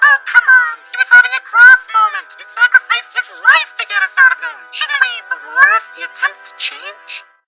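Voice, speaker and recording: A squeaky, cartoonish character voice with an extremely high pitch talks at a moderate pace while faint music plays in the background. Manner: chatty, theatrical.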